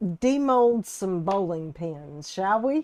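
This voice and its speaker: Speaking with a Southern US accent, a woman moves at a very slow pace. Her pitch swings very widely, and the sound is dry and close with no echo. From US South (Texas and Alabama). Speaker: resin artist and live streamer. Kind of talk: casual live stream chat. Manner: chatty, folksy.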